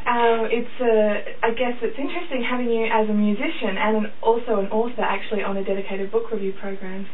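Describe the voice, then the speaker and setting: Delivered at a fairly quick pace with hardly any pauses, the voice keeps a fairly even intonation over noticeable background noise. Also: woman, fairly high pitch for a woman. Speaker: radio presenter. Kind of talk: radio interview questions.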